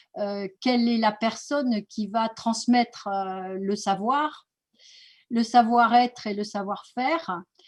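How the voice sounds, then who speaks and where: In a quiet background, a woman with a fairly high pitch speaks very slowly, somewhat breathy, with ordinary pitch variation. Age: 60s. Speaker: naturopathy school director. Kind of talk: presentation. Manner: hesitant, many fillers.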